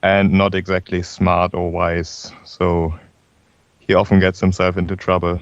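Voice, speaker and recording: Against a quiet background, a man speaks at a moderate pace in a very deep, low pitch. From Germany. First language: German. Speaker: tabletop role-playing game player. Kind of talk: casual chat. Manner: halting.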